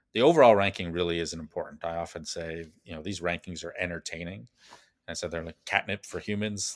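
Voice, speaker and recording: A man with a very deep, low voice and a Canadian accent talks at a very fast pace with fairly even intonation. His loudness swings widely, and the sound is dry and close with no echo. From Calgary, Alberta, Canada. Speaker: place branding consultant. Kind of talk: interview.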